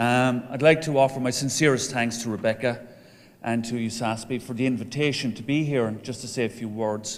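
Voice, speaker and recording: A man with an Irish accent talks at a fairly quick pace and medium pitch with fairly even intonation, with audible room echo around him. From Ireland. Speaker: professor of entrepreneurship, association president. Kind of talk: conference speech.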